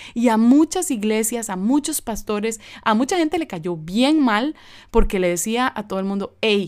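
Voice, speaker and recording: A woman's fairly high voice at a fairly slow pace, lively in intonation, in a very clean recording with a silent background. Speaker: biblical counselor and podcast host. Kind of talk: informal teaching monologue. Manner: casual, informal; hesitant with many fillers.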